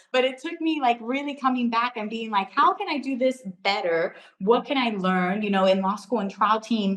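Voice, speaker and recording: With hardly any pauses, a woman speaks at a fairly high pitch with lively intonation over noticeable background noise. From US mainland, Puerto Rican born; Florida. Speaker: travel writer and public speaker. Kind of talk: interview conversation. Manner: fast; animated.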